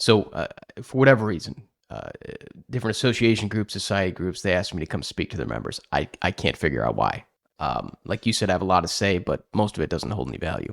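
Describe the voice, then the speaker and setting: A man with a very deep, low voice and vocal fry talks at a very fast pace in a slight Chicago accent, with very wide pitch swings. The recording is very clean with a silent background, and the sound is dry and close with no echo. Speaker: podcast host, accounting industry speaker. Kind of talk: casual podcast chat.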